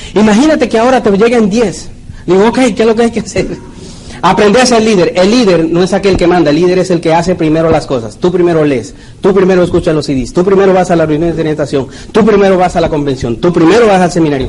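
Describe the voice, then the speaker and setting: A man at a very fast pace, high in pitch, with lively intonation over noticeable background noise. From Mexico, Puebla. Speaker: network marketing leader. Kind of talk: motivational talk.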